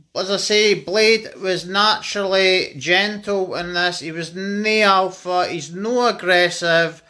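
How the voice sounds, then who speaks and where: A man's raised, projected voice with a Scottish accent, high in pitch and bright and sharp in tone, with fairly even intonation, a very slow pace and hardly any pauses. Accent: Scottish (Fife). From Scotland, Fife. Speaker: dog owner vlogger. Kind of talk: casual vlog talk.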